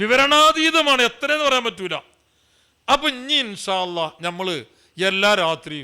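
Raised and projected, a man's bright, sharp voice moves through very wide pitch swings. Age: 50s. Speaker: Islamic preacher. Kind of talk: sermon.

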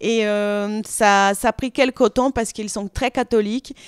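With a Brazilian accent, a woman is heard against a quiet background in a dry sound with no echo. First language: Portuguese (speaking French). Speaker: reality TV personality and model; interviewee, actress. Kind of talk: interview answers. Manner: hesitant, many fillers. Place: studio. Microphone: handheld.

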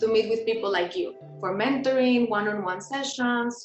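With clear music in the background, a woman speaks at a moderate pace with ordinary pitch variation. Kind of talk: interview answer. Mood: warm, cheerful. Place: home room. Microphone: video call.

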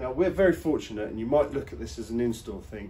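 A man speaks with a dark, mellow tone and vocal fry. Light background noise sits under the voice. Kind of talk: tutorial. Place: garage. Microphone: camera far.

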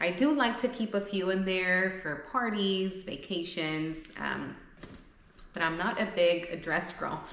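There is audible room echo as a woman speaks at a fairly slow pace, her fairly low pitch showing ordinary variation. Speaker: vlogger. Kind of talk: casual try-on haul chat. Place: home room.

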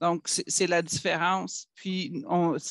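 Over a quiet background, a man with a high pitch talks very slowly with fairly even intonation in a dry, close sound with no echo. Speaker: academic records specialist. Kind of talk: work meeting discussion. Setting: video call.

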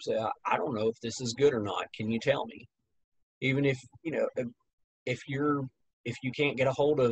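A man's somewhat breathy, medium-pitched voice comes through dry, with no echo. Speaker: music teacher. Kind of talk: casual interview. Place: home room. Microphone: webcam.

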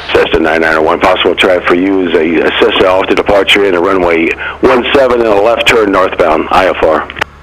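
Fairly low-pitched, a man talks at a fairly quick pace with hardly any pauses. His loudness stays very even over noticeable background noise. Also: ordinary pitch variation. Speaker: air traffic controller. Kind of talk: radio ATC phraseology. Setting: radio transmission.

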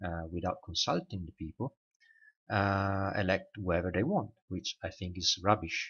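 A man with a very deep, low pitch and a non-native accent, at a moderate pace with fairly even intonation. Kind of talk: casual talk to camera. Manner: hesitant, many fillers.

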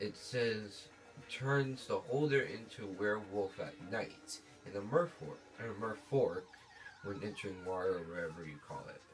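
Quiet and at a fairly slow pace, a man with a fairly low voice uses lively intonation and big swings in loudness while music plays in the background. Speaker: gamer. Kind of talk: gameplay commentary.

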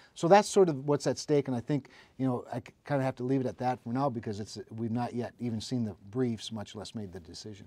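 With an Upper Midwest accent, a man talks very fast in a dark, mellow, medium-pitched voice, with ordinary pitch variation and big swings in loudness. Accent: Upper Midwest American. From North Dakota, Cass County; North Dakota. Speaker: state utility regulator and politician; politician. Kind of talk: interview. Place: studio.

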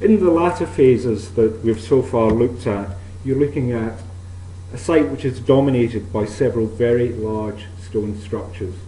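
A man talks at a medium pitch and moderate pace. Audible room echo surrounds his voice. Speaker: archaeologist. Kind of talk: lecture. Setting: stage with audience. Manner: formal. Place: hall.

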